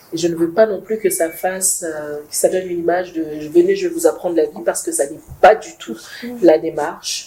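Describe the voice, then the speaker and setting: Over noticeable background noise, a woman speaks at a moderate pace with big swings in loudness. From not Congolese, foreign to Congo. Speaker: project founder. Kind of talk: talk show interview. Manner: hesitant, many fillers.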